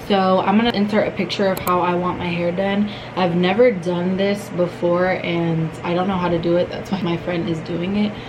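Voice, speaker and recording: A woman at a fairly low pitch, monotone and flat, at a moderate pace with hardly any pauses, amid noticeable background noise and audible room echo. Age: 20s. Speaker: lifestyle vlogger. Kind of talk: vlog talk to camera.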